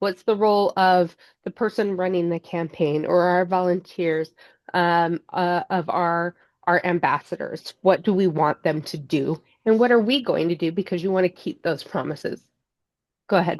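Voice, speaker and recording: A woman talks in a normal speaking voice at a fairly low pitch and moderate pace, with ordinary pitch variation. The background is quiet, and the sound is dry and close with no echo. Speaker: fundraising consultant. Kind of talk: webinar presentation. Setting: online webinar.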